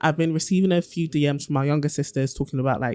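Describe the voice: The tone is dark and mellow, delivered at a fast pace with ordinary pitch variation. The recording is very clean, with a silent background. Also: woman, low pitch for a woman.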